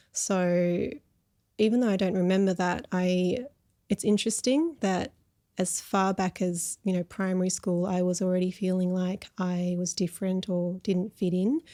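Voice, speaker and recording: A woman with an Australian accent and a medium pitch speaks at a moderate pace in a dark, mellow tone. Her intonation is fairly even and her loudness very even, on a very clean recording with a silent background. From Australia, Melbourne. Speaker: counsellor. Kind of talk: interview conversation.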